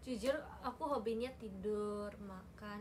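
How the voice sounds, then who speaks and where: A woman speaks with a Japanese accent. Audible room echo surrounds her voice. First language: Japanese (speaking Indonesian). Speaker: idol group member livestreamer. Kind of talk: casual livestream chat. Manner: animated.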